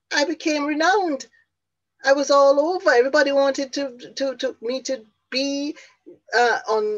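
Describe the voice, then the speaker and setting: In a Jamaican accent, a woman with a high pitch and ordinary pitch variation speaks at a moderate pace, with long, frequent pauses. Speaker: motivational speaker and business coach. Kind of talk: motivational talk. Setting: online conference.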